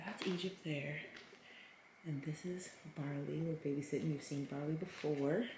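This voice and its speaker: A woman whispers at a moderate pace, and audible room echo surrounds her voice. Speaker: family vlogger, mother of seven. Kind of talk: casual vlog narration. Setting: at home. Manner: whispering.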